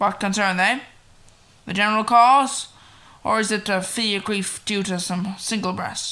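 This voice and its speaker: A woman talks in a put-on character voice at a medium pitch, with fairly even intonation. Her pace is moderate, broken by long, frequent pauses. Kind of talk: classical Shakespearean stage acting. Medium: audio drama. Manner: intense, impassioned.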